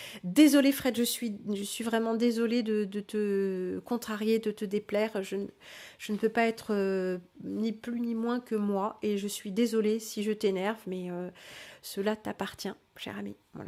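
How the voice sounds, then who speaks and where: A woman's fairly high voice with a dark, mellow tone, monotone and flat in intonation, at a fairly slow pace, in a very clean recording over a silent background. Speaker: livestream host teaching spirituality. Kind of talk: live stream reading and answering chat. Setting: live stream. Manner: hesitant, many fillers.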